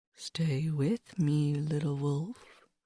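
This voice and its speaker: A woman speaks in a put-on character voice pitched very deep and low. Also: dry, close sound with no echo. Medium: read story. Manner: bossy, protective.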